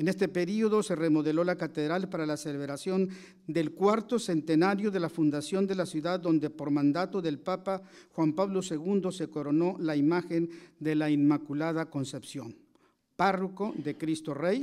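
The tone is dark and mellow, with ordinary pitch variation. The pace is fairly slow over a quiet background. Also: man. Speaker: event presenter introducing the lecturer. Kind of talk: formal introduction. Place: hall. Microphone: podium.

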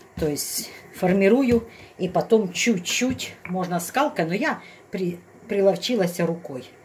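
A woman speaks with fairly low pitch and ordinary pitch variation.

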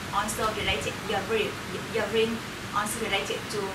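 Through loud background noise, a woman with a Vietnamese accent talks at a moderate pace. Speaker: graduate student. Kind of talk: group sharing, unscripted. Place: home room.

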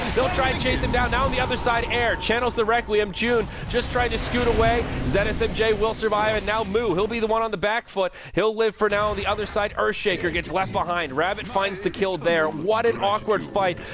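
Over noticeable background noise, a man with a high voice and an animated tone speaks at a fairly quick pace with very even loudness and hardly any pauses. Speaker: esports commentator. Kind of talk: live esports match commentary. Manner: fast, animated play-by-play, rising excitement at kills.

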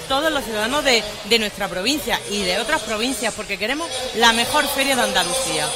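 Clear music sounds behind the speaker. She is a woman talking fairly quickly. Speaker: council guest. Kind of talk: interview answer. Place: stage. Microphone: headset.

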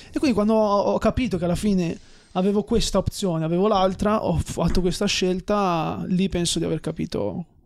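The background is quiet. A man with a high pitch speaks at a fairly quick pace with fairly even intonation. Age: 20s. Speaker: entrepreneur and former footballer; podcast guest. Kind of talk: casual chat. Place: studio. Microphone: studio mic.

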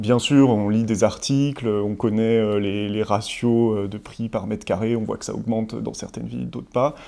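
The tone is dark and mellow, the intonation monotone and flat, and the pace fairly slow. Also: man, fairly low pitch for a man. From Savoie, France. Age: 30s. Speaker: tech entrepreneur giving client testimonial. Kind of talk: interview testimonial. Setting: studio set. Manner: hesitant, many fillers and repetitions. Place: office. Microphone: lapel.

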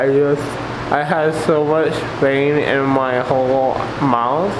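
Noticeable background noise sits behind a man. He talks at a very slow pace with fairly even intonation. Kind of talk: casual vlog chat. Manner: drowsy, slurred speech after surgery. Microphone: phone near.

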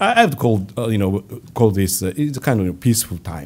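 A man speaks in a fairly low pitch with a Japanese accent. His pitch varies in an ordinary way. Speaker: government finance official. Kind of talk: press conference. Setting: stage with audience. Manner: halting. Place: hall. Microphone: podium.

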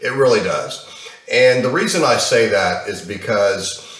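Fairly slow male speech with audible room echo. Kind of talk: casual vlog chat. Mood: frustrated, animated. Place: home room. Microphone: webcam.

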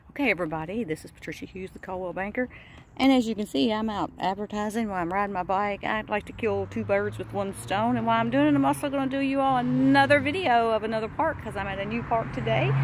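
Talking at a very fast pace with hardly any pauses, a woman comes through a dry sound with no echo and light background noise. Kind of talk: casual vlog chat. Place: bicycle. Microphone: phone near.

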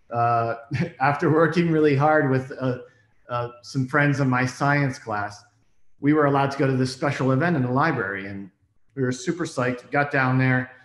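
A man's medium-pitched voice at a moderate pace, with ordinary pitch variation, a quiet background and audible room echo. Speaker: documentary filmmaker; storyteller. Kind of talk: personal storytelling. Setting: remote video stream from home. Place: home room. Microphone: webcam.

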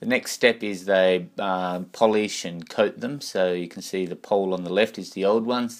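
A man's very deep, low voice with ordinary pitch variation over a quiet background. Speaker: buyer or guide touring a factory. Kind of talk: explanatory tour commentary. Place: factory.

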